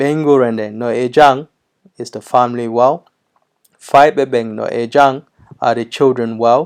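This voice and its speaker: A man speaks at a medium pitch and a fairly slow pace, with long, frequent pauses. His loudness swings widely while his intonation stays fairly even. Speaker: language teacher. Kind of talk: tutorial. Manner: hesitant, many fillers.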